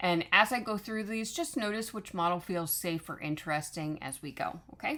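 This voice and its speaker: On a very clean recording with a silent background, a woman at medium pitch speaks at a moderate pace in a calm, bright, sharp tone with lively intonation. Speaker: online business coach. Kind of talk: tutorial. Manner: halting, many fillers.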